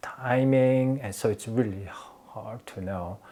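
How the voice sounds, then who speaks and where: This man keeps a moderate pace and fairly even intonation on a very clean recording with a silent background. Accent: Korean. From Korea. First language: Korean. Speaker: realtor. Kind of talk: tutorial. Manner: halting.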